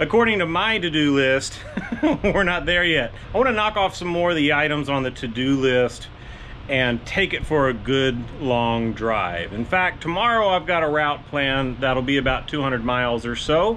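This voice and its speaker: A man talks at a moderate pace. Light noise sits in the background. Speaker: garage channel host. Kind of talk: casual vlog chat. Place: garage. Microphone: phone near.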